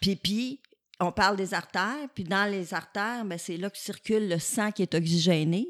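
Speaking at a fairly slow pace and medium pitch, a woman comes through on a very clean recording with a silent background. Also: ordinary pitch variation, dry, close sound with no echo. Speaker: physiotherapy professor. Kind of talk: casual interview.

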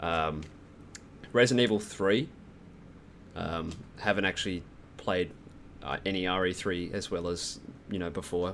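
With an Australian accent, a man speaks at a moderate pace in a very deep, low pitch, using ordinary pitch variation and long, frequent pauses. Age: 20s. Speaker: gaming podcast guest. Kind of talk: casual chat.

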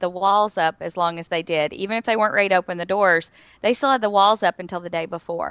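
Speaking in a Southern US accent with a bright, sharp tone, a woman of medium pitch moves at a fairly quick pace with hardly any pauses and ordinary pitch variation, the sound dry and close with no echo. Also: quiet background. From Florida. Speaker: podcast panelist. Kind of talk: casual chat.

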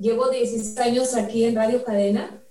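A woman speaks at a moderate pace with a fairly high pitch and monotone, flat intonation. Noticeable background noise runs underneath. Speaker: radio programming coordinator and announcer.

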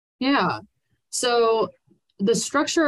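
A woman with an American accent speaks at a moderate pace in a plain, everyday voice, her pitch varying in an ordinary way against a quiet background. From Pennsylvania, Lancaster. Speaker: nonprofit fundraising executive. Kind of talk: podcast interview.

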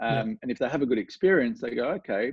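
A man speaks with a strong Australian accent. His pitch sits in the medium range. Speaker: golf coach. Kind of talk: casual interview chat. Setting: video call from home studio.

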